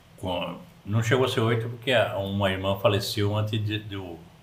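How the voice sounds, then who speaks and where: A somewhat breathy man with a fairly low pitch and monotone, flat intonation, audible room echo around him. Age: 70s. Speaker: podcast guest, grandfather. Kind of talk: casual chat.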